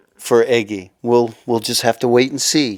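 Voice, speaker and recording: A man with an American accent has an ordinary speaking voice at a medium pitch. He talks at a fairly slow pace. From US Midwest, Michigan. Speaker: voice-over actor and children's author. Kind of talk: interview.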